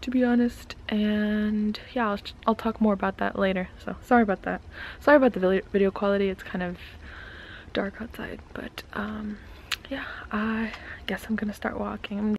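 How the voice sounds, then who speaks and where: At a moderate pace, a woman talks with fairly even intonation and long, frequent pauses, the sound dry with no echo over light background noise. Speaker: vlogger. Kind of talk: casual vlog chat. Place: home room. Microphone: phone near.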